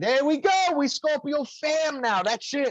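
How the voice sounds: With a dry, close sound and no echo, a man talks with lively intonation at an extremely high pitch. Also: fairly slow pace.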